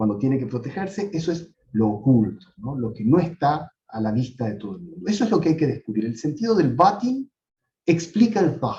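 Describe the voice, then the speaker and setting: A man at fairly high pitch, with very wide pitch swings, a dark, mellow, somewhat breathy tone and a moderate pace. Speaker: professor. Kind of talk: lecture.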